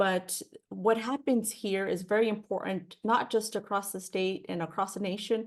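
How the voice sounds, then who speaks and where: Speaking at a moderate pace, a woman talks with a Spanish accent. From California Central Valley (Fresno). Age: 30s. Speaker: political candidate. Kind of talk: Q&A interview. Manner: halting, repeats words.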